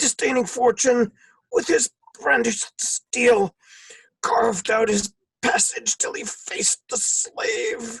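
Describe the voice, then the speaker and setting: A raspy, put-on character voice from a man, extremely high-pitched and at a fairly slow pace. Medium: stage play.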